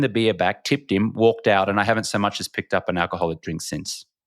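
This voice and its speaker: A man talks very fast with an Australian accent, recorded very cleanly against a silent background in a dry, close sound with no echo. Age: 40s. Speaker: former sports TV anchor, entrepreneur. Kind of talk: podcast interview storytelling. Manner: animated.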